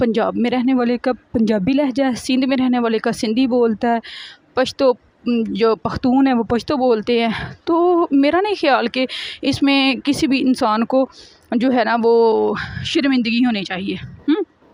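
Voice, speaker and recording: With a Punjabi accent, a woman speaks in a high pitch with ordinary pitch variation and very even loudness, the sound dry and close with no echo. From Pakistan, Punjab. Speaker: vlogger. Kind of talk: casual vlog talk.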